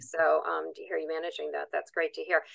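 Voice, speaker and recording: A woman speaks against a quiet background. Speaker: conference moderator. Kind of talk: interview. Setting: video call. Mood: friendly, curious. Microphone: video call.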